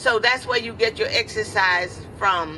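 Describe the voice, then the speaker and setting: Noticeable noise fills the background. The speaker is a woman. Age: 80s+. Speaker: community gardener. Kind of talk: press conference statement. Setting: press conference.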